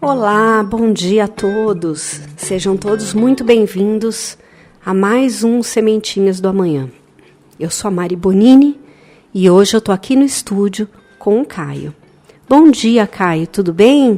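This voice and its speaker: Very slow pace and ordinary pitch variation, with noticeable background noise. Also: woman, medium pitch for a woman. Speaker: radio host of a spiritist children's program. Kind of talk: educational chat with a child. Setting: studio.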